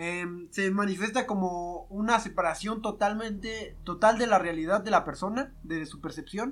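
Speaking at a moderate pace with hardly any pauses, a man uses a high pitch, ordinary pitch variation and big swings in loudness. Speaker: podcast co-host. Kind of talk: casual comedic chat.

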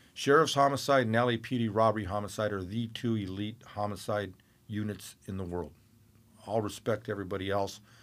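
A normal speaking voice with an American accent, at a fairly quick pace, in a very clean recording with a silent background. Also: man, fairly low pitch for a man. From Northern California. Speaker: boxing cut man and homicide detective. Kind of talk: casual interview chat. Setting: studio.

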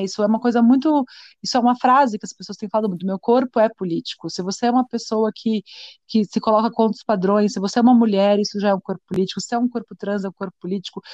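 A woman talks very fast at a fairly high pitch with a dark, mellow tone and fairly even intonation, though her loudness swings widely. The sound is dry and close with no echo. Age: 30s. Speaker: dancer and arts educator, feminist activist. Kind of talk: interview.

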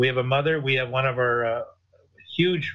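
An unremarkable speaking voice from a man with a Canadian accent, medium in pitch and fairly even in intonation. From Canada. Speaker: clothing company co-founder. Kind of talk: interview.

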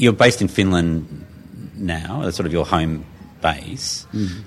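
Music plays behind a man whose very deep, low voice carries an Australian accent. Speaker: podcast interviewer. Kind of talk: interview.

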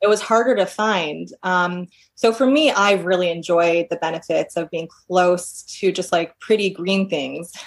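A woman with an American accent and a plain, everyday voice speaks fairly slowly at a medium pitch with ordinary pitch variation. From New York. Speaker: clinical psychologist. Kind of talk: casual interview.

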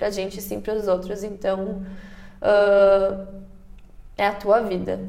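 A woman is speaking. The recording carries audible room echo and noticeable background noise. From Brazil. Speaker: entrepreneur, former exchange student. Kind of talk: casual interview.

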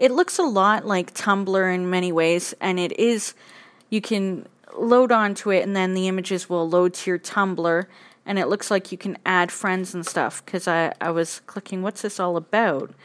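A woman speaks at a moderate pace with a medium pitch and fairly even intonation over a quiet background. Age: 30s. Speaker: podcaster. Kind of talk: personal monologue. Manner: halting.

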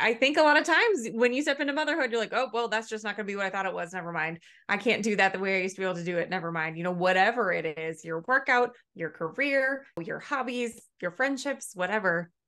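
A woman's medium-pitched voice, bright and sharp in tone, racing at a very fast pace with very wide pitch swings and hardly any pauses. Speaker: podcast host. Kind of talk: interview.

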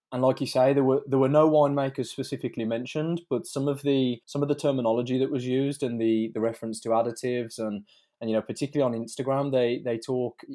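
Speaking fairly quickly with a British accent, a man has a dark, mellow tone, medium pitch and fairly even intonation against a quiet background. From UK. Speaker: wine blogger and engineer. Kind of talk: casual interview. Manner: halting, repeats words.

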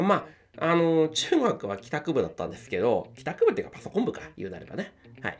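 Very wide pitch swings from a man talking at a fairly quick clip. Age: 40s. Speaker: podcast host. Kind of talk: casual solo talk. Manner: filler-heavy, polite.

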